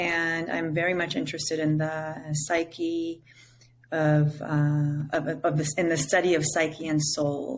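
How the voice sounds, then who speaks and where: A woman speaks in an Israeli accent at a very deep, low pitch. Her intonation is monotone and flat. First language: Hebrew. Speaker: psychedelic integration coach. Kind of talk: interview. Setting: remote call.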